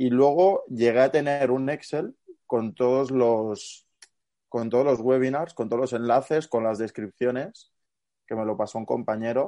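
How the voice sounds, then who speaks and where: A man speaks at a fairly slow pace in a medium pitch with a dark, mellow tone and ordinary pitch variation. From Barcelona, Catalonia. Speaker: student and youth football fitness coach. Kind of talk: casual interview chat.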